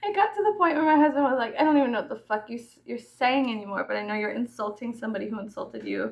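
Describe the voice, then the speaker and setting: A woman speaks at a very fast pace with hardly any pauses, her voice high-pitched and her intonation lively. Noticeable background noise is present. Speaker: YouTuber. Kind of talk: casual chat.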